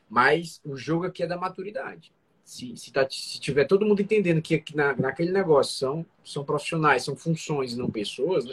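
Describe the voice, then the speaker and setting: Speaking at a fairly quick pace with hardly any pauses, a man with a fairly high pitch shows ordinary pitch variation and big swings in loudness. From Brazil, Fortaleza, Ceará. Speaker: restaurant entrepreneur co-host. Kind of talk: casual live business talk. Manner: halting, repeats words.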